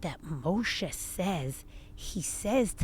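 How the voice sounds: Natural voice for reading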